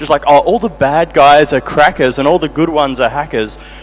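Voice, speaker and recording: A man's fairly high voice, varying in pitch in an ordinary way, comes through noticeable background noise. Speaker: audience member asking a question. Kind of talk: audience question. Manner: fast.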